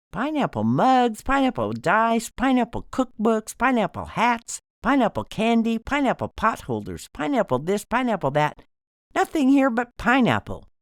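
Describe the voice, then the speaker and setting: In a put-on character voice, the speaker sounds loud and whiny at a fairly high pitch and a moderate pace, on a very clean recording with a silent background. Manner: loud, complaining.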